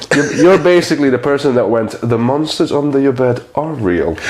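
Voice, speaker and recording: Over noticeable background noise, a man with a fairly high pitch speaks in a playful tone at a moderate pace, his loudness very even. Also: ordinary pitch variation. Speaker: comedian. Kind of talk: interview answer. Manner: playful, jokey.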